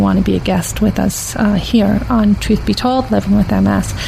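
The pitch swings very widely from high to low. Background noise is noticeable throughout. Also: woman. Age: 50s. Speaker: podcast host living with MS. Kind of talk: interview. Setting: studio.

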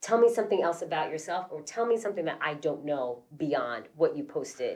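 Her delivery fairly quick and her intonation lively, a woman speaks in a normal speaking voice. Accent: American. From Queens, New York. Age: 30s. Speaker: podcast co-host. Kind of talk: casual chat.

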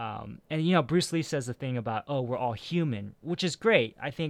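An American accent at a moderate pace with ordinary pitch variation. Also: man. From US West Coast, San Francisco Bay Area. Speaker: podcast host. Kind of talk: casual chat.

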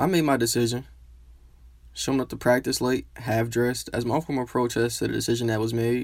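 Here is a man with a plain, everyday voice at a medium pitch, speaking at a fairly quick pace with fairly even intonation. The recording is very clean, with a silent background. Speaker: student storyteller. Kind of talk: scripted narration.

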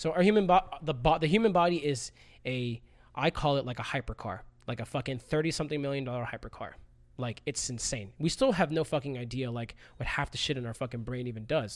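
Fairly high and animated, this man's voice moves at a fairly quick pace with ordinary pitch variation in a very clean recording with a silent background. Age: 30s. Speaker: parkour athlete and coach. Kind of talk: casual chat.

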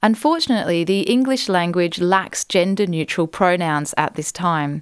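A woman with an Australian accent speaks at a moderate pace in a medium-pitched, warm, gentle tone with ordinary pitch variation. The sound is dry and close, with no echo. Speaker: podcast host and book author. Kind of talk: literary audiobook reading, author narrating her own book. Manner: warm, measured and gentle narration with a reflective, sincere tone.

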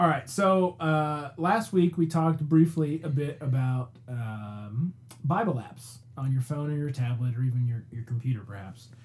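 At a fairly slow pace, a man with a fairly high pitch talks in a somewhat breathy voice with ordinary pitch variation. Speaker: podcast host. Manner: excited, energetic.

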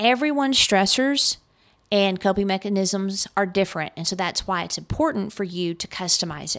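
A woman's plain, everyday voice at medium pitch, with lively intonation and a moderate pace. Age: 50s. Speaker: business podcast host. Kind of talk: solo podcast tips talk. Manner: casual, filler-heavy.

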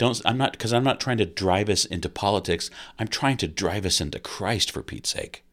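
Over a very clean recording with a silent background, a man with an American accent speaks at a fairly quick pace and a fairly low pitch with ordinary pitch variation. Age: 50s. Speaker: pastor. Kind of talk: solo podcast talk. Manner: halting, many repetitions.

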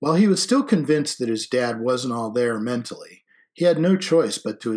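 Reading aloud in a natural voice, with lively intonation against a quiet background

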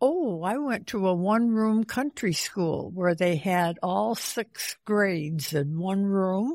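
Very slowly and with lively intonation, a woman with an American accent speaks at a medium pitch in a very clean recording with a silent background and a dry, close sound with no echo. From central New York State. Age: 90s. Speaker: retired teacher. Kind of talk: interview. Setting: retirement home. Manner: halting, many fillers.

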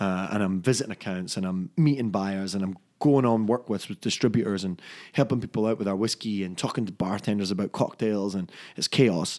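In a very clean recording with a silent background, a man with a Scottish accent speaks fairly quickly with a fairly low pitch and ordinary pitch variation. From Scotland, Fife (Dunfermline). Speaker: whisky brand ambassador. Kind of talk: casual chat.

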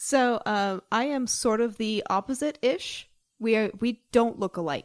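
A woman with an American accent and a normal speaking voice talks at a fairly high pitch with ordinary pitch variation. The recording is very clean and silent behind her, with a dry, close sound and no echo. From Salt Lake City, Utah. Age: 30s. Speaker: podcast co-host. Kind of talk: casual chat.

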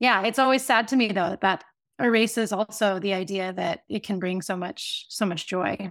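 A woman with an American accent uses a normal speaking voice at a moderate pace on a very clean recording with a silent background. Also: medium pitch for a woman, ordinary pitch variation. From US South (Tampa, Florida). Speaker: writer and workshop facilitator. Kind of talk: interview, reading own essay aloud then conversation.

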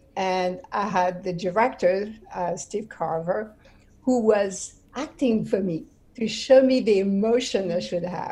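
A woman's medium-pitched, somewhat breathy voice in a French accent, with a dark, mellow tone, ordinary pitch variation and a fairly slow pace. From France, Brittany. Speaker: actress and TV host. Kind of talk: interview.

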